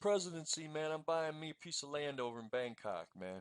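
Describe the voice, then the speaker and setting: Recorded with a dry, close sound and no echo, a man talks at a fairly quick pace with lively intonation. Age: 60s. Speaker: podcast co-host. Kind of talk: casual chat.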